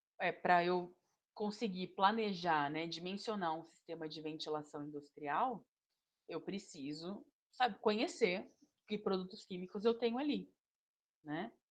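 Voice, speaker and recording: Speaking at a fairly slow pace with long, frequent pauses, a woman uses a medium pitch and lively intonation. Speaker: engineering instructor. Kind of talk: online lecture.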